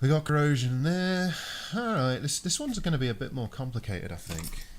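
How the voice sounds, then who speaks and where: A man talks at a fairly quick pace with very wide pitch swings. His voice is somewhat breathy. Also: fairly high pitch for a man. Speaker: electronics repair streamer. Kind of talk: live stream repair tutorial. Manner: casual, thinking aloud.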